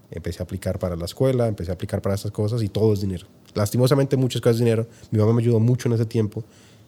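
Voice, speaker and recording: A man talks at a very fast pace in a dark, mellow, somewhat breathy tone. The recording is very clean, with a silent background. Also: fairly low pitch for a man, fairly even intonation. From Colombia, Tocancipá near Bogotá. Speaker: entrepreneur. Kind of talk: interview.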